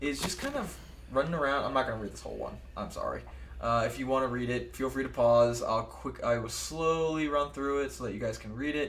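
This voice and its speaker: Room echo can be heard in this clip. The man speaks at a fairly quick pace. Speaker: gaming video creator. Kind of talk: let's play commentary. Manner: fast.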